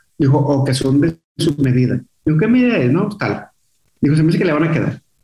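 Dark, mellow tone in a somewhat breathy male voice. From Monterrey, northern Mexico. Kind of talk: casual interview.

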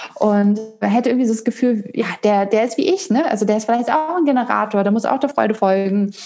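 Her pitch sits fairly high. This woman rattles along at a very fast pace. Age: 30s. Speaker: human design coach. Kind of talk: interview.

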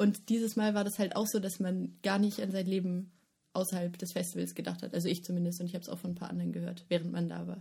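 Speaking very fast in a flat monotone, a woman has a fairly low, somewhat breathy voice with a dark, mellow tone. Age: 20s. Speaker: festival organizer. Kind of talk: casual chat.

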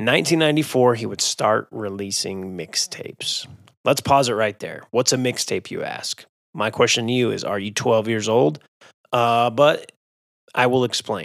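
A man with an American accent talks at a moderate pace in an ordinary speaking voice. His pitch is medium, with ordinary pitch variation. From Utah (Magna). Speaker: podcast host and DJ. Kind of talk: casual interview.

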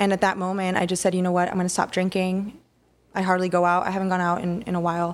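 A woman at a very fast pace with an American accent, medium pitch and monotone, flat intonation, on a very clean recording with a silent background. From Texas, Rio Grande Valley. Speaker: family nurse practitioner and business owner. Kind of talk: casual interview chat.

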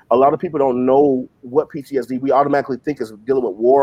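A man with an American accent, medium pitch and a fairly quick pace. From US South. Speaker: co-host, preacher. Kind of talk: casual chat; prophetic ministry.

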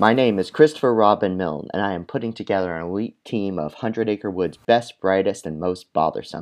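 Ordinary pitch variation shapes an unforced reading voice.

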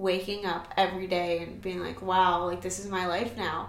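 A woman speaks with a Californian accent. Noticeable background noise and audible room echo are present. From Southern California. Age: 20s. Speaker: young mother and esthetician. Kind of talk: casual interview chat.

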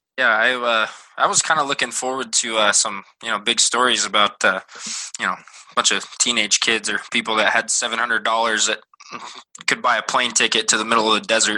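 At a fairly quick pace, a man talks in a medium pitch. He has an unremarkable speaking voice. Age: 20s. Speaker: student training to be a teacher and coach. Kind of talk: casual chat. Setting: video call from home.

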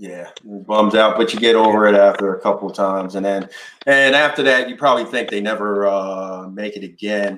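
With an American accent, a man speaks at a fairly low pitch and a fairly quick pace, showing ordinary pitch variation and big swings in loudness against noticeable background noise. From New York. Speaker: podcast host. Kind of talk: casual chat.

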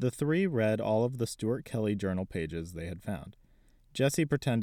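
Someone engages in plain reading aloud. Lively intonation runs through it.

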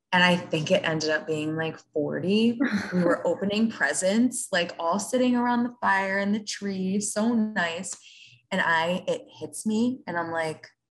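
Somewhat breathy delivery at a very slow pace, with ordinary pitch variation. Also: woman. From Rockland County, New York. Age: 20s. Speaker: wealth management worker. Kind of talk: casual chat.

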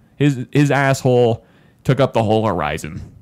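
Animated man at a medium pitch, fairly slow in pace, with lively intonation. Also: very clean recording, silent background. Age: 20s. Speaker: podcast host. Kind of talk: casual comedic chat.

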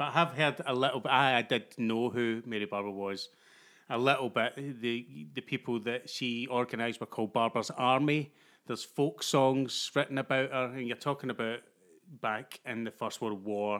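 Moderate pace from a man's medium-pitched voice, fairly even intonation, and a very clean recording with a silent background. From Glasgow, Scotland. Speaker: actor. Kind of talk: casual chat.

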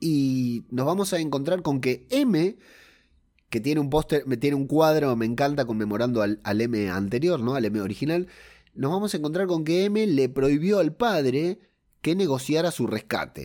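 A man with a dark, mellow tone and fairly high pitch speaks at a moderate pace, his intonation lively. His loudness stays very even, and the recording is very clean with a silent background. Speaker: podcast host. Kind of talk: film review podcast.

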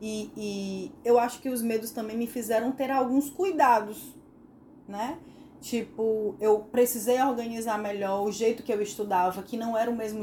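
Fairly high-pitched woman's voice with ordinary pitch variation over noticeable background noise. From Northeast Brazil. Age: 40s. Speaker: podcast co-host, psychologist. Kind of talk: casual chat.

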